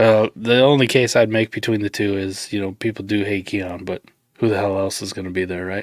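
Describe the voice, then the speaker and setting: A man with a plain, everyday voice speaks at a fairly quick pace with fairly low pitch and fairly even intonation. The sound is dry and close, with no echo. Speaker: fantasy football show host. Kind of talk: live stream chat.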